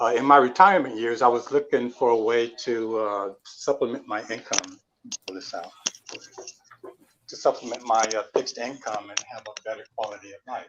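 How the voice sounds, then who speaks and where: A man speaks at a medium pitch and a moderate pace, with ordinary pitch variation. His loudness swings widely from moment to moment. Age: 60s. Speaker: retired network technician. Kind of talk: guest interview. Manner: halting.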